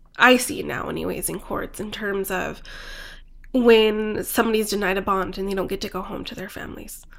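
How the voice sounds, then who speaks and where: This woman with an American accent talks at a fairly quick pace, with vocal fry and fairly even intonation. Her loudness swings widely. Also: medium pitch for a woman. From US Southwest (New Mexico and Phoenix). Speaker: immigration lawyer. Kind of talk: interview.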